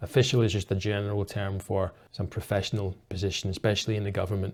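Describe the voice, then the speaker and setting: At a very fast pace, a man with a Scottish accent speaks in a fairly low, somewhat breathy voice with fairly even intonation. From Scotland. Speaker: English teacher. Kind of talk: story retelling for English learners.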